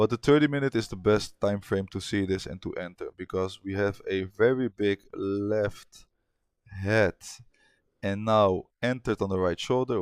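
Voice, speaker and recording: A man with a non-native accent speaks at a moderate pace in a fairly low voice, with ordinary pitch variation. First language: not English. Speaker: forex trader. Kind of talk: trading tutorial. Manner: casual, with hesitations.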